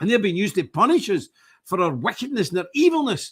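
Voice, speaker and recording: In a very clean recording with a silent background, a man speaks in a bright, sharp tone with very wide pitch swings. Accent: Glasgow. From Scotland. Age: 60s. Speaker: religious group leader, streamer. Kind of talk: live stream monologue. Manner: animated.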